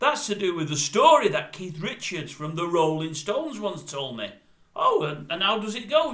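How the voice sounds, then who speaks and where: Amid noticeable background noise, a man talks at a moderate pace. His high voice makes very wide pitch swings. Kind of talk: casual talk to camera. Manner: chatty, storytelling.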